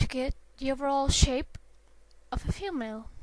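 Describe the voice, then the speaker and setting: A woman with a non-native accent, high-pitched, speaking at a very slow pace. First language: not English. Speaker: drawing tutorial maker. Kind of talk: tutorial. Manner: halting. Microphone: poor sound quality.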